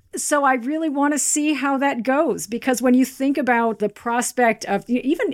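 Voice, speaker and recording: The recording is very clean, with a silent background. A woman with an American accent speaks at a moderate pace and a high pitch. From US Midwest, Kansas. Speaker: finance journalist and podcast co-host. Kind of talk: casual interview chat.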